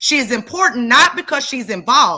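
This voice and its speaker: In a very clean recording with a silent background, a woman speaks high-pitched in a bright, sharp tone that is passionate and animated. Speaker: true crime commentator. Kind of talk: reading prepared notes in commentary. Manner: passionate, animated; loud.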